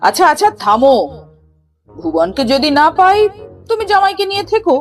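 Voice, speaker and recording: A gruff, put-on character voice moves at a moderate pace over music in the background. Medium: read story. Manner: commanding, gruff.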